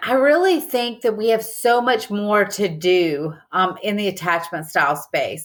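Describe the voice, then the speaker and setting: A woman speaks at a fairly slow pace with a Southern US accent. Her pitch swings very widely, in a very clean recording with a silent background. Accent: Southern US, noticeable. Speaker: business professor and psychologist. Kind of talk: podcast interview.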